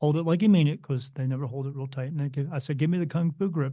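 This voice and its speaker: A man's somewhat breathy voice, fairly high in pitch, with fairly even intonation. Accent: American. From New Jersey. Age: 50s. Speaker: spirit medium. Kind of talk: podcast interview.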